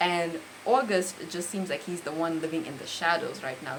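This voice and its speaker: A woman with a fairly low voice talks at a moderate pace, with audible room echo and noticeable background noise. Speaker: book reviewer. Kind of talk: book review monologue.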